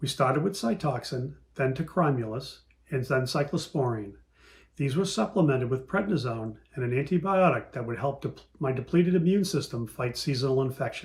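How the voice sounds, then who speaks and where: With a bit of breathiness, a man talks with a normal amount of pitch movement. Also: medium pitch for a man. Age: 60s. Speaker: patient panelist. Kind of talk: testimony. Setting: virtual meeting. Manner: reading prepared statement.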